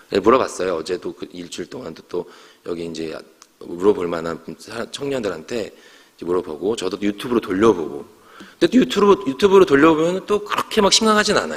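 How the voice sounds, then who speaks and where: A man speaks at a medium pitch with very wide pitch swings. His pace is fairly quick. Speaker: pastor. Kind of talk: sermon. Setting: church. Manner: fast.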